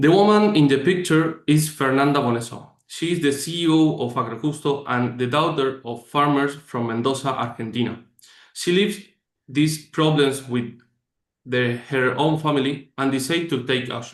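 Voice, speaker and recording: At a moderate pace, a man in a Spanish accent talks with a fairly high pitch and ordinary pitch variation. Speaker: startup executive. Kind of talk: presentation. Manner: reading from script.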